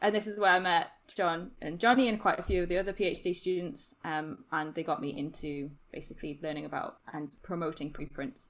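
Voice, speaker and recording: In a Geordie accent, a woman talks at a fairly quick pace with a fairly low pitch and ordinary pitch variation, in a very clean recording with a silent background. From northern England, Newcastle. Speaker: podcast producer and postdoc researcher. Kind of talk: casual chat. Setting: podcast recording.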